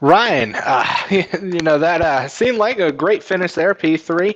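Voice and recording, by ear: Mumbling in a put-on character voice, a man uses a high pitch at a moderate pace with very even loudness.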